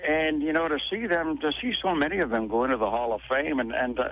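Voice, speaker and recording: This man has a plain, everyday voice. He speaks at a moderate pace with lively intonation. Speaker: arena PA announcer for a professional hockey team. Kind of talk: radio interview answer.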